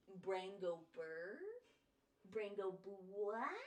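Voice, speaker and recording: A woman with an American accent talks at a medium pitch with lively intonation. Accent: slight southern US accent at times. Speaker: art streamer. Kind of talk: casual chat. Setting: live stream.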